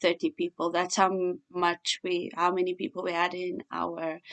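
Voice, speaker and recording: At a very slow pace, a woman speaks at medium pitch with a bright, sharp tone and a dry, close sound without echo. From South Africa. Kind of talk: opinion monologue. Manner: halting, many fillers.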